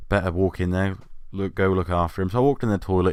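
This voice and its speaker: Speaking at a very fast pace in an animated tone, a man with an English accent is heard in a very clean recording with a silent background. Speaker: YouTuber storyteller. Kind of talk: casual storytelling monologue.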